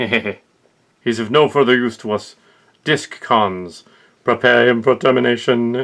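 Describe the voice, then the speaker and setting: In a put-on character voice, a man speaks fairly slowly at a medium pitch with fairly even intonation. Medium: audio drama. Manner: cold, clipped, commanding.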